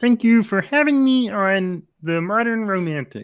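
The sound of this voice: A put-on character voice, nasal and croaky, fairly high in pitch and moderate in pace.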